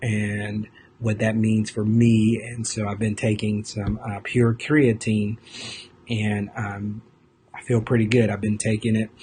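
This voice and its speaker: A man whispers quietly. He goes at a fairly slow pace. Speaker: fitness vlogger. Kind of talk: casual live video chat. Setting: office, live stream. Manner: quiet, almost whispering; hesitant, many fillers.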